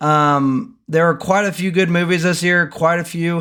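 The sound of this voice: On a very clean recording with a silent background, a man speaks at a fairly slow pace and fairly high pitch. His tone is clear, smooth, bright and sharp, with fairly even intonation.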